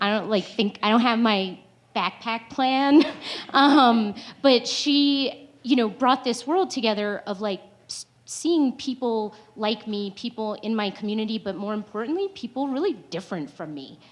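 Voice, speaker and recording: Lively intonation carries a woman's fairly high pitch at a fairly slow pace. She has a normal speaking voice. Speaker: panelist. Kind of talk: panel discussion.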